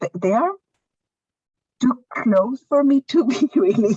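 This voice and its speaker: A woman with a non-native accent, somewhat breathy and dark, mellow in tone, at a very slow pace with lively intonation and a dry, close sound with no echo. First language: not English. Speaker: workshop participant. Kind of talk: panel discussion. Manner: halting.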